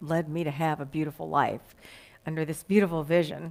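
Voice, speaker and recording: The speaker has a Texas accent. The recording is very clean, with a silent background. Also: woman. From Texas, Dallas. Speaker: guest minister. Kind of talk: sermon.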